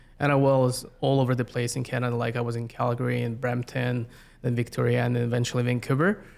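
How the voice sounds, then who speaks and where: The voice moves at a very fast pace in a flat monotone. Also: man, medium pitch for a man. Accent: Siberian. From Russia, Yakutsk, Siberia. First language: Yakut. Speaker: community planner. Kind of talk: interview. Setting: podcast recording.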